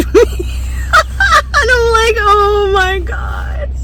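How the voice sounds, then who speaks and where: The voice belongs to a woman. Noticeable background noise runs behind her. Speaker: vanlife YouTuber. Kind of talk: casual storytelling to camera.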